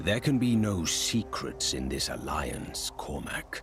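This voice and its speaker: Putting on a character voice, a man with a fairly low pitch swings his pitch very widely at a fairly slow pace while clear music plays in the background. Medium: short film. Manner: terse, grave.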